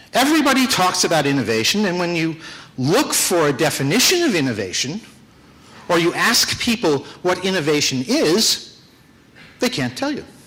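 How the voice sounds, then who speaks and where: A man with an American accent speaks at a moderate pace in a high pitch, with very wide pitch swings and long, frequent pauses. Audible room echo and noticeable background noise surround him. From United States. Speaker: business executive and conference speaker. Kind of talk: conference talk. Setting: stage with audience. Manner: casual, with many fillers.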